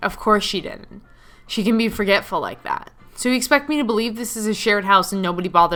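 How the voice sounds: A natural reading voice moves through the text with ordinary pitch variation.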